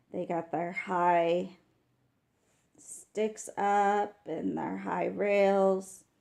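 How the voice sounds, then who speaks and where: Over a quiet background, a woman speaks at a very slow pace in a dark, mellow tone. She has a slight Texas accent. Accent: slight Texas twang. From West Texas. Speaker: wildlife camera commentator. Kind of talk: live commentary. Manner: casual, chatty with fillers.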